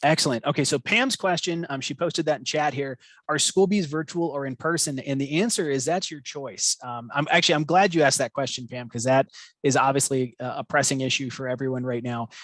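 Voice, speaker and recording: A man talks at a fairly quick clip in a fairly high register, his pitch moving in an ordinary way, recorded dry and close with no echo. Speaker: spelling bee program coordinator hosting webinar. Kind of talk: webinar Q&A. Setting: video call webinar. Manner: fast.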